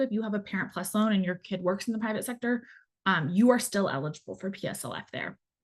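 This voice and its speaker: Against a quiet background, a woman talks at a very fast pace in a somewhat breathy voice with ordinary pitch variation. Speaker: student debt specialist. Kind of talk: webinar Q&A.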